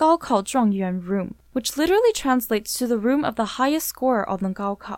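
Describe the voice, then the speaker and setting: With lively intonation and a fairly high pitch, a woman speaks at a moderate pace in an unremarkable speaking voice. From Vancouver, Canada. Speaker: podcast host. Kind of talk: scripted narration.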